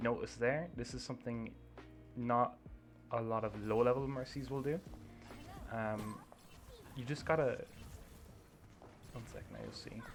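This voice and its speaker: Music plays behind a man of medium pitch whose fairly even intonation comes with big swings in loudness and long, frequent pauses. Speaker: gaming video creator. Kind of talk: gameplay review commentary. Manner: fast. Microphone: poor mic, too quiet.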